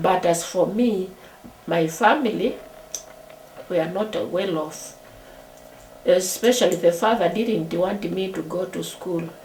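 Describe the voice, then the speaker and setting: A woman speaks at a very slow pace with a medium pitch, ordinary pitch variation, and long, frequent pauses. The room echo is audible, and there is noticeable background noise. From Kenya. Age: 70s. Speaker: retired teacher. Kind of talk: interview testimony. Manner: halting.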